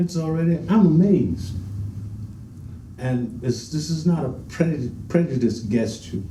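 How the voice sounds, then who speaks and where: The speaker has an American accent and a fairly slow pace, with long, frequent pauses. Pitch swings are very wide, and room echo is audible. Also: man, medium pitch for a man. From US South (Augusta, Georgia), then New York City from 13. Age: 70s. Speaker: veteran swing dancer. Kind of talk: interview.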